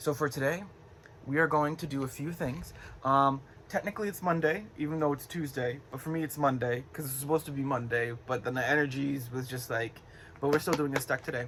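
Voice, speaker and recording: At a fairly quick pace, a man speaks in a fairly high pitch with ordinary pitch variation. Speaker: tarot reader. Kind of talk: casual tarot reading vlog. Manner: rambling with many fillers.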